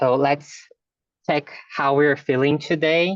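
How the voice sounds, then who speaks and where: Fairly even intonation marks this fairly slow speech in a Brazilian Portuguese accent. The sound is dry and close, with no echo. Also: man. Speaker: fundraising specialist. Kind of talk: online lecture. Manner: hesitant, many fillers.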